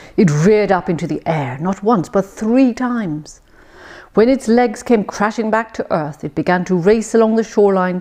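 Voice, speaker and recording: A woman speaks at a fairly high pitch with very wide pitch swings. Her pace is fairly slow. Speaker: English tutor. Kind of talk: storytelling reading.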